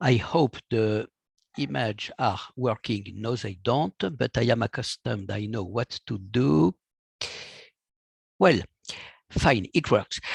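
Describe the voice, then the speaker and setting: Against a quiet background and in a dry, close sound with no echo, a man with a French accent speaks at a very slow pace with long, frequent pauses, his medium-pitched voice somewhat breathy and his intonation lively. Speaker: physician. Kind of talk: lecture. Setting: video call.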